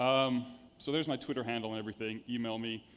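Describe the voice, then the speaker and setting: A man with an American accent, medium pitch, fairly even intonation and a fairly quick pace. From United States. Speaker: venture capital investor. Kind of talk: conference talk. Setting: stage with audience.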